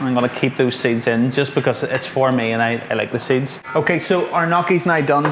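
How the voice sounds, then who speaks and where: The speech moves at a fairly quick pace with hardly any pauses and very even loudness, over noticeable background noise. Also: man. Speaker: home cook. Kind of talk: cooking tutorial. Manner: fast.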